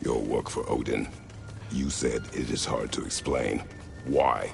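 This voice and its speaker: Over loud background noise, a man talks in a cartoonish character voice at a fairly slow pace. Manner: terse, formal, no contractions.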